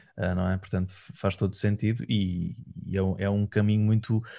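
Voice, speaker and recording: A man's dark, mellow tone at a fairly low pitch and moderate pace, in a very clean recording with a silent background. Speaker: podcast host. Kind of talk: interview.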